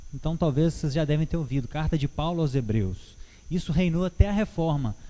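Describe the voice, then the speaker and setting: A man speaks at a fairly high pitch with a dark, mellow tone and ordinary pitch variation. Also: fairly quick pace. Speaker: church Bible teacher. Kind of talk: Bible teaching talk. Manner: halting, with many fillers.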